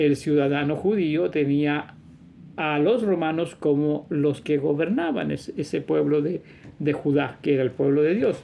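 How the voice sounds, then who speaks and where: A man with a normal speaking voice talks at a fairly slow pace and a fairly high pitch, with ordinary pitch variation. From Chile. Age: 60s. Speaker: religious teacher / video preacher. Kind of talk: religious monologue.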